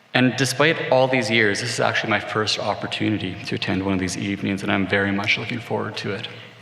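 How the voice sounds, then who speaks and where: With hardly any pauses, a man rattles along at a very fast pace in a fairly low voice with ordinary pitch variation, amid noticeable background noise and audible room echo. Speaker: corporate executive. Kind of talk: formal speech. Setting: stage with audience.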